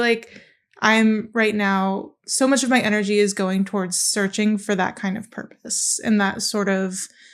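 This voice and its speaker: With intonation that stays fairly level, a plain, everyday voice talks at a medium speed. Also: woman. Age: 20s. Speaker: aspiring TV writer, recent graduate. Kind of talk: casual interview conversation.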